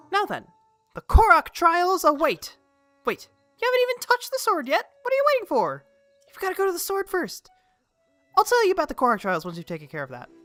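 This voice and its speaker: Using a put-on character voice at an extremely high pitch, a woman talks at a very fast pace with long, frequent pauses while faint music plays in the background. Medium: virtual streamer. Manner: excitable, chirpy.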